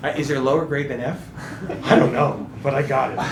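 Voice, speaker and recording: A man with an American accent speaks in an animated tone at a moderate pace. Audible room echo and noticeable background noise surround him. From New England, US. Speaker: guest speaker on marketing. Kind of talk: workshop talk.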